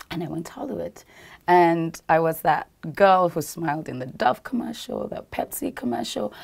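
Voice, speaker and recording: Vocal fry comes through alongside very wide pitch swings and big swings in loudness. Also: woman, fairly low pitch for a woman, moderate pace. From Uganda. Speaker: actress and petroleum engineer. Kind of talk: TV interview. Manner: animated. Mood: animated storytelling. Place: studio.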